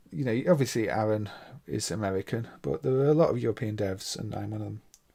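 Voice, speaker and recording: The speech runs at a very fast pace with lively intonation. The tone is dark and mellow, with a Midlands accent. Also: man, fairly low pitch for a man. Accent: Midlands English, mild. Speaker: emulator developer and game streamer. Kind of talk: live gameplay stream commentary. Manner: casual, hesitant with fillers.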